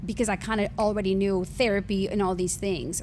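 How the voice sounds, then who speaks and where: A woman at medium pitch with a slight Honduran accent, in audible room echo. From Honduras. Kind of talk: testimony.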